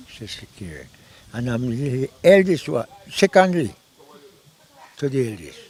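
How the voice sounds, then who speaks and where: A man with a medium-pitched voice speaks at a fairly slow pace, his pitch swinging very widely and his loudness rising and falling sharply, with long, frequent pauses. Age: 90s. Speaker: village elder. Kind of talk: interview. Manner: halting.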